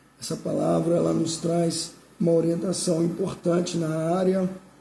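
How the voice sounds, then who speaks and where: A man speaks fairly slowly in a high, dark, mellow voice with flat, monotone intonation. The room gives an audible echo. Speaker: pastor. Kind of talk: sermon.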